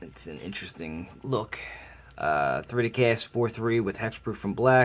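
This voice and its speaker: A man at a moderate pace. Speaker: card game unboxing host. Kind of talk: casual talk to camera.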